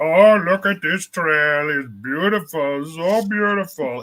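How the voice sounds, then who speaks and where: A man puts on a character voice with a Florida accent. He speaks at a fairly slow pace in a high pitch. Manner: admiring, awestruck.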